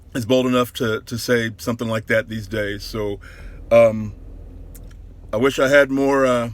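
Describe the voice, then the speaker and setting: Pausing long and often, a man with an American accent speaks at a moderate pace, his medium pitch kept at fairly even intonation. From Central Indiana. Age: 40s. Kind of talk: casual talk to camera. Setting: in a car.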